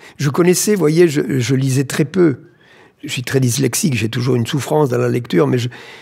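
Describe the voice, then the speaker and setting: A man speaks at a medium pitch with a dark, mellow tone that is somewhat breathy. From southern France, Tarn. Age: 70s. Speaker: explorer and doctor. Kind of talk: interview. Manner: halting.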